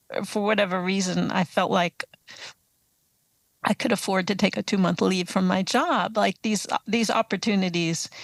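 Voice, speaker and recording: A woman with an American accent, medium-pitched with vocal fry, fairly even intonation and very even loudness, at a moderate pace with long, frequent pauses, in a dry, close sound with no echo. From US East Coast (Atlanta, Baltimore, Boston). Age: 60s. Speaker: author and touring cyclist. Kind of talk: interview.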